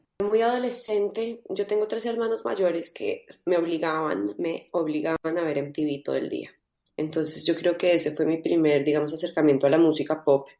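With a dark, mellow tone and a fairly low pitch, a woman talks at a moderate pace with lively intonation. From Colombia. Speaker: singer-songwriter. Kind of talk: interview.

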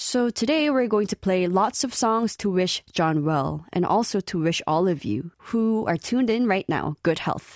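Speaking with a Korean accent at a moderate pace, the voice has lively intonation, very even loudness and hardly any pauses, on a very clean recording with a silent background and a dry, close sound with no echo. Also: woman, medium pitch for a woman. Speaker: radio DJ. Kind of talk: radio show presenting.

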